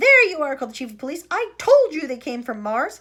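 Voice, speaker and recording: In a put-on character voice, a woman talks at a fairly quick pace in a high pitch, with very wide pitch swings and a raised, projected voice. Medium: read story. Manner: loud, shouting.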